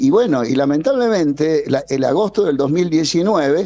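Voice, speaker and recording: A man talks at a moderate pace in a high voice with very wide pitch swings. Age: 60s. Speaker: energy consultant. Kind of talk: radio interview. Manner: animated.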